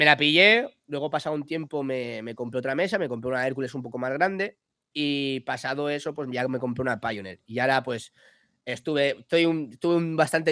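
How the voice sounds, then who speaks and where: A man speaks in a fairly high voice with a bright, sharp tone. The recording is very clean, with a silent background. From Spain, Alicante (Villajoyosa). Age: 20s. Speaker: DJ. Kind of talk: casual chat.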